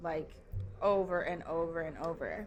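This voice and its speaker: A woman's fairly low voice with a flat, monotone delivery and an American accent. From Minnesota, rural small town. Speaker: festival security worker and concierge. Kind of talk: casual chat. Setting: members' lounge.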